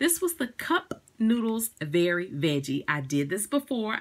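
A woman at a moderate pace, fairly low pitch, big pitch swings and a fairly bright tone

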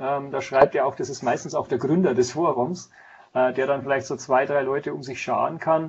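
A man speaks with fairly even intonation. His voice is somewhat breathy. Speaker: guest. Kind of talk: interview answer. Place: office.

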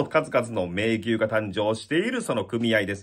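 Energetic in tone, a man speaks at a moderate pace against a quiet background. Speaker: bullfighting commentator. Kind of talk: event preview talk to camera. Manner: lively, energetic. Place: home room. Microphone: phone near.

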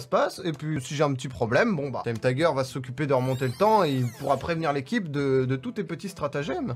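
Lively intonation and a fairly quick pace come through over light background noise. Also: man. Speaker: video creator. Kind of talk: casual commentary debate. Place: home room. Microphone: studio mic.

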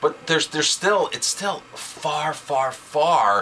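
Lively intonation marks a man's speech over light background noise. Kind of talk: casual discussion commentary. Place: office. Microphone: webcam.

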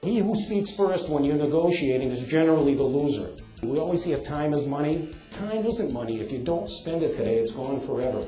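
Music plays in the background as a man with a fairly high pitch talks at a fairly quick pace, with lively intonation and hardly any pauses. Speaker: motivational speaker. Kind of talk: motivational talk to live audience.

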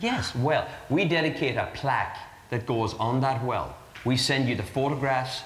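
With an Irish accent, a man talks over light background noise while audible room echo hangs around his voice. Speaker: charity fundraiser for water wells. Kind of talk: interview answer. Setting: live broadcast before an audience. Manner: earnest, persuasive pitch. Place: studio. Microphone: lapel.

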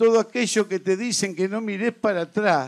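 A man talks with a high pitch and ordinary pitch variation. The background is quiet. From Argentina. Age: 60s. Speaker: trade union leader; speaker. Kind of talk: political speech. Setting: stage with audience. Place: stage. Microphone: handheld.

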